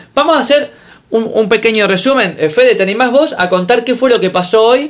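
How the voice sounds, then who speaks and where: A man at an extremely high pitch with ordinary pitch variation, very even loudness and a moderate pace, over noticeable background noise. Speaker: podcast host. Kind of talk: casual chat.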